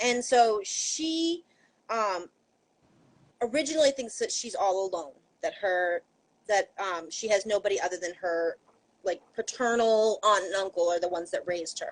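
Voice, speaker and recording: Speaking in a Maine accent, a woman with a fairly high pitch uses lively intonation at a moderate pace, with long, frequent pauses. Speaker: YA author. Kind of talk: casual chat. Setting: live video stream.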